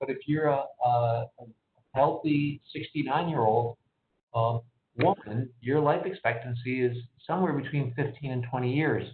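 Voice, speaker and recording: A man's medium-pitched voice at a moderate pace, with ordinary pitch variation and long, frequent pauses. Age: 60s. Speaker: physician. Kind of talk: Q&A answering caller questions. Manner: halting, many repetitions.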